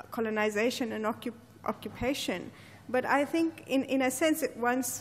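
A woman speaks at a moderate pace in a high voice, with ordinary pitch variation. Light background noise is audible. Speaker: speaker. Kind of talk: formal introduction. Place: hall. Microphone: podium.

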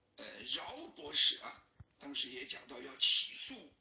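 A man speaks at a very slow pace. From Sichuan, China. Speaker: talk show host. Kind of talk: casual chat. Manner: halting, many fillers.

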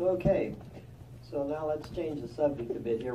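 At a moderate pace, a man speaks at a fairly high pitch in an unremarkable speaking voice. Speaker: congregation elder giving a talk. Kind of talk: religious talk.

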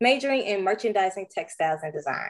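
A woman talks with an American accent at a medium pitch. Her pace is fairly quick.

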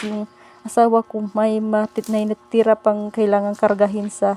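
A woman with a Bisaya accent speaks at a fairly high pitch and a moderate pace. The sound is dry and close with no echo, though there is noticeable background noise. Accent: Bisaya-tinged Tagalog. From Bohol, Philippines. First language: Cebuano (Bisaya) (speaking Tagalog). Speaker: vlogger. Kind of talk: casual vlog narration. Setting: outdoors in the countryside. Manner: halting.

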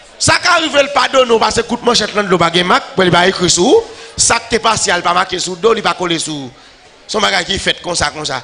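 A man speaks very fast in a high voice, raised and projected. His intonation is lively. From Haiti. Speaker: pastor. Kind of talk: sermon. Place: church.

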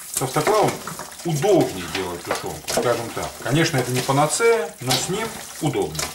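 A man speaks at a moderate pace, with noticeable noise in the background. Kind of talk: tutorial. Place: kitchen. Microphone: camera far.

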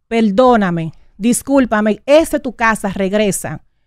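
A woman's fairly high voice with ordinary pitch variation, in a dry sound with no echo over a quiet background. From Dominican Republic, Santo Domingo area. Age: 30s. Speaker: radio host. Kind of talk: on-air personal statement; emotional talk show statement. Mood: hurt, indignant, confrontational. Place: studio. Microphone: studio mic.

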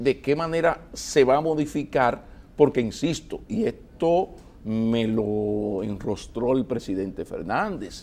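The man's tone is dark and mellow, with very wide pitch swings. He speaks at a very slow pace. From Dominican Republic. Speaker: TV interview host. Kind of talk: political TV interview. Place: studio. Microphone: lapel.

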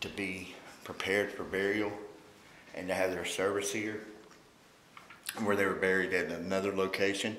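Over light background noise and audible room echo, a fairly low-pitched man speaks slowly in a bright, sharp tone. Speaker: paranormal investigator host. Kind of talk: walkthrough tour commentary. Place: hall. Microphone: phone near.

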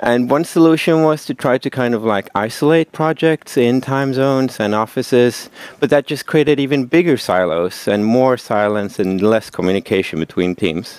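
A man talks at a moderate pace with hardly any pauses. The sound is dry, with no echo. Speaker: presenter. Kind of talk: conference talk. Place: meeting room.

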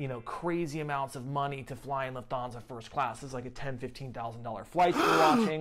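A man at a fairly quick pace with ordinary pitch variation, over noticeable background noise. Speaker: travel vlogger. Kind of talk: casual vlog chat. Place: home room. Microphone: lapel.

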